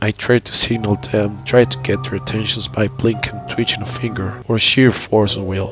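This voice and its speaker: Music plays in the background behind a man. His voice is fairly low, with ordinary pitch variation. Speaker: horror story narrator. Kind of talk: horror story narration.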